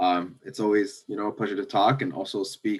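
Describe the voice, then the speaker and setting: A man with a Canadian accent and ordinary pitch variation. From Toronto, Ontario. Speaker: startup founder. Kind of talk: panel discussion.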